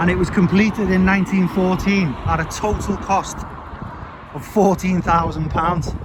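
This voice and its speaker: A loud, shouting man with a Scouse accent, high-pitched and flat in intonation, at a moderate pace amid noticeable background noise. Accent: Scouse (Liverpool) English. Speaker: vlogger / local tour guide. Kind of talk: walking tour vlog. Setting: outdoors by a main road. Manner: loud, shouting a bit.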